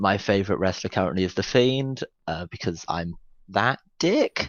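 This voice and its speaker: Lively intonation runs through this speech in a British accent. The pace is moderate. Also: man, fairly low pitch for a man. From Britain. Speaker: podcast co-host. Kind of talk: casual chat.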